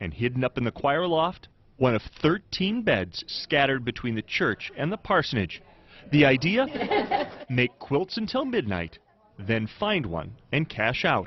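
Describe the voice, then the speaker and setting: A man with a fairly high pitch talks at a fairly slow pace, his voice moving in very wide pitch swings. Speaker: TV news reporter. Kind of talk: TV news feature narration.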